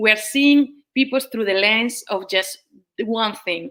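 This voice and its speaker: A woman speaks at a moderate pace in a fairly high voice with ordinary pitch variation. Her tone is bright and sharp. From Spain. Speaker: professor. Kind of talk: panel discussion. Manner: hesitant, many fillers.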